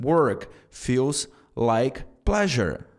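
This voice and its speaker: A man speaks with very wide pitch swings. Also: very clean recording, silent background. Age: 30s. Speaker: self-improvement vlogger. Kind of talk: motivational talk to camera.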